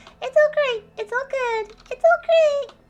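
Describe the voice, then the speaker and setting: Using a put-on character voice, a woman speaks in an extremely high, squeaky pitch at a fairly slow pace, with lively intonation. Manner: cheerfully chirpy, playful.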